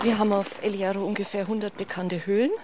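A woman at medium pitch against noticeable background noise. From Franconia, Nuremberg. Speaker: baker and cave tour guide. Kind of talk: casual chat.

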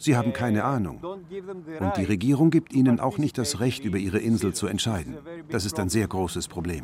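Speaking at a moderate pace, a man keeps a medium pitch that makes very wide swings. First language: Greek (speaking German). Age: 60s. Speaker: skipper and activist. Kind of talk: interview. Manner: dubbed voice-over translation.

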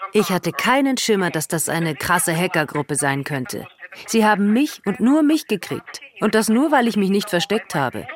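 A woman's voice with very wide pitch swings at a moderate pace, over noticeable background noise. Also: medium pitch for a woman. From Latvia. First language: Russian (speaking German). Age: 50s. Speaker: accused programmer, interviewee. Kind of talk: interview from prison.

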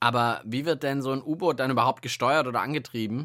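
A man talks fast at a medium pitch, his tone bright and sharp, with ordinary pitch variation.

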